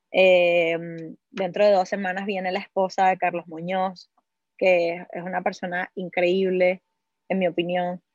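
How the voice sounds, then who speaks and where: A woman with a Venezuelan accent speaks at a fairly slow pace in a monotone, flat intonation, the sound dry and close with no echo. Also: medium pitch for a woman. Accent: Venezuelan-sounding Spanish. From Cuba. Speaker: entrepreneur and investor. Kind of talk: interview.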